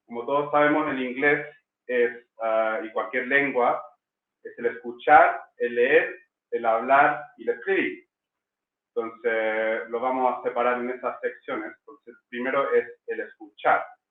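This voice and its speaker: Here a man speaks at a fairly slow pace in an English accent. His loudness swings widely. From England. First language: English (speaking Spanish). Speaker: language school director. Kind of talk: online masterclass. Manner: hesitant, many fillers.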